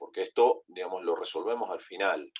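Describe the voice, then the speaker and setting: A man talks at a moderate pace. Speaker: veterinary pathology lecturer. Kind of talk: online lecture. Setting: online video call. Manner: halting, with fillers and repetitions.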